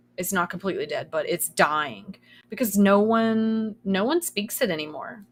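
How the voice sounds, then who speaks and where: Medium pitch from a woman with an American accent, at a moderate pace. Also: lively intonation. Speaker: streamer. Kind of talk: casual chat. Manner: sometimes trips over words.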